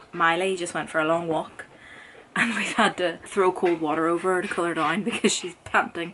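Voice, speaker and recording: A woman's fairly low-pitched voice comes through noticeable background noise. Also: moderate pace. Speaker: book YouTuber. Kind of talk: casual vlog chat. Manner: animated.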